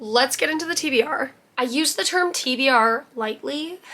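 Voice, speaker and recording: A woman's voice, high in pitch. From Canada. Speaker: book youtuber. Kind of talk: casual chat. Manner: animated.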